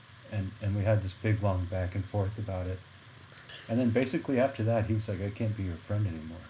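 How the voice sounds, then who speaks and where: A dark, mellow, somewhat breathy voice with an American accent moves at a very fast pace with fairly even intonation. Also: man, fairly low pitch for a man. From Arkansas, US South. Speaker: jazz saxophonist. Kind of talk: casual interview conversation.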